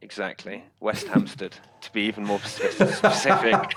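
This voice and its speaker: In a British accent, a man talks at a moderate pace with big swings in loudness. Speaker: tech startup founder. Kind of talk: interview.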